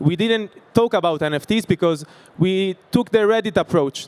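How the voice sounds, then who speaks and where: A man with an Italian accent and ordinary pitch variation, in a dry, close sound with no echo. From Italy. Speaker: startup founder. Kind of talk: sales pitch. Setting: stage with audience. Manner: halting.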